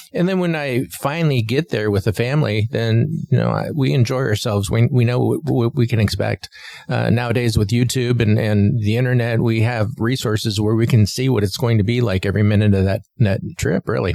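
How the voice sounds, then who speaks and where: A man's medium-pitched voice at a fairly quick pace, with ordinary pitch variation, very even loudness and noticeable background noise. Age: 60s. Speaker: podcast co-host. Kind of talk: casual chat. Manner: halting, many fillers and repeats.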